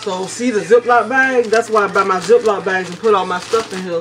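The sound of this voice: A woman with a medium pitch and a fairly bright tone speaks at a fairly quick pace over faint background noise. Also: ordinary pitch variation.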